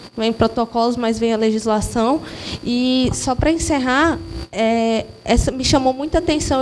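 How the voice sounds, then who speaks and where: A woman with a Mato Grosso do Sul accent speaks in a high pitch with ordinary pitch variation. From Mato Grosso do Sul, Brazil. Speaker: social worker in audience. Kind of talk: audience comment at lecture. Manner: halting.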